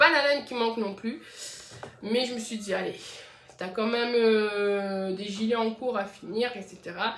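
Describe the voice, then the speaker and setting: A woman with a fairly high pitch and ordinary pitch variation speaks at a fairly slow pace with long, frequent pauses, amid audible room echo and noticeable background noise. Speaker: knitting podcaster. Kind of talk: casual podcast monologue. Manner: hesitant, many fillers.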